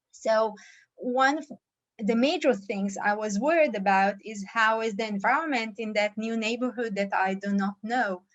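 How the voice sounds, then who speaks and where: A fairly high-pitched woman with a non-native accent, at a moderate pace. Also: ordinary pitch variation. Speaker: startup CEO. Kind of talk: startup presentation. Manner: halting, many fillers.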